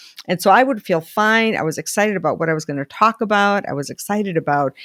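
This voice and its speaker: Talking at a very fast pace with lively intonation, a woman at a medium pitch comes through on a very clean recording with a silent background. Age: 60s. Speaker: life coach. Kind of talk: solo video talk. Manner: conversational.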